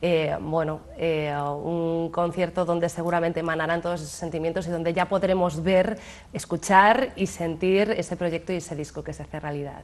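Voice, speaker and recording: A woman speaks at a moderate pace with hardly any pauses. Her voice is fairly low in pitch, with fairly even intonation. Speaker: TV presenter. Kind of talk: TV interview show. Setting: TV studio. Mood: warm, smiling. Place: studio. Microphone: lapel.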